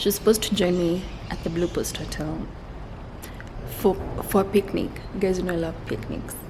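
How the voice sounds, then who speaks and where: Noticeable background noise accompanies monotone, flat speech at a moderate pace, broken by long, frequent pauses. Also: woman, medium pitch for a woman. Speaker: vlogger. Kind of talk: casual vlog narration. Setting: outdoors at a nature park. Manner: whispering.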